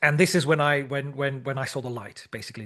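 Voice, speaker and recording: A man speaks with a Dutch accent in a fairly high voice. The background is quiet. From Netherlands. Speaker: language teacher and teacher trainer. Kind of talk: interview. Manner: halting, many repetitions.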